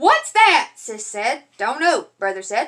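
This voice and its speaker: With an Appalachian accent, a woman raises and projects her high-pitched voice, her pitch swinging very widely. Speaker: parent reading to kids. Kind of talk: reading aloud. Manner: animated.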